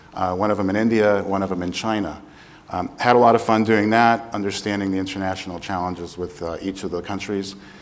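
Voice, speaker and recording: Fairly even intonation holds as a man talks at a fairly quick pace. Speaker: panelist. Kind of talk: panel talk, self-introduction. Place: stage. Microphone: lapel.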